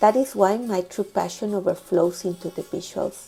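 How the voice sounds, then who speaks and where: Speaking at a fairly slow pace, a woman with a Spanish accent has a medium pitch. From Mexico. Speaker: storytelling channel creator. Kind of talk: scripted narration.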